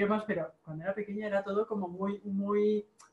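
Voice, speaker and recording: A woman's plain, everyday voice at a medium pitch and fairly quick pace. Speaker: online marketing coach and video host. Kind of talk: casual interview.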